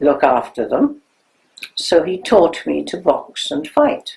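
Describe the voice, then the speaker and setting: A woman talks at a very slow pace. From Germany. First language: German. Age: 90s. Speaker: Holocaust survivor. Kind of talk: testimony.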